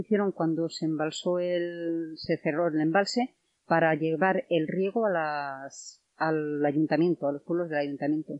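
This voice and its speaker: Fairly low in pitch, a woman speaks in a plain, everyday voice with ordinary pitch variation. Her pace is fairly slow with hardly any pauses. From Spain, León province village. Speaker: villager and tour guide. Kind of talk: casual interview.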